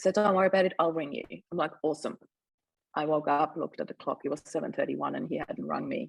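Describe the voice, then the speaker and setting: A woman talks with a German accent. Her pace is very fast. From Austria. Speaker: mindset mentor. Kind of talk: interview testimony.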